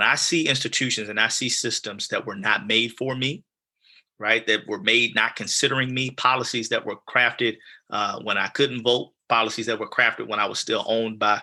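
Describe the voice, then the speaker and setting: A man's bright, sharp tone at a medium pitch, with fairly even intonation, a moderate pace and a quiet background. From South Side of Chicago (West Pullman). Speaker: community leader, Navy veteran. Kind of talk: podcast conversation.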